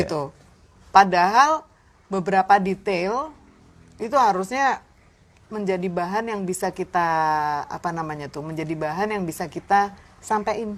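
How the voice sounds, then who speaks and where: Speaking with lively intonation at a moderate pace, a woman leaves long, frequent pauses. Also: medium pitch for a woman. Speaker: jazz and blues singer. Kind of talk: interview answer. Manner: casual, mixes in English.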